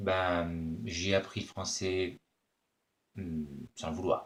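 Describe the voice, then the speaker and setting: In a Spanish accent, a man speaks with a very deep, low pitch. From Spain. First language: Spanish (speaking French). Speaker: actor. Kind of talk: self-introduction video answering questions. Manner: hesitant, many fillers.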